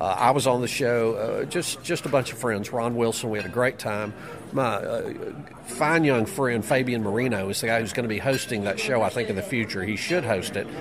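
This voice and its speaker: Noticeable background noise behind a male voice, medium in pitch, fairly quick in pace, with ordinary variation in pitch. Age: 60s. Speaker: magician and mentalist. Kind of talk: casual interview.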